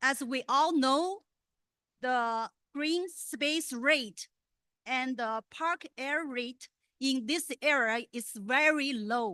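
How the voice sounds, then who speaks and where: A woman with a Chinese accent speaks very slowly in a raised, projected voice, with high pitch, a bright, sharp tone and ordinary pitch variation. The sound is dry and close with no echo, over a quiet background. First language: Mandarin. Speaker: public commenter at school board meeting. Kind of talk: public comment. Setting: board meeting. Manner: halting.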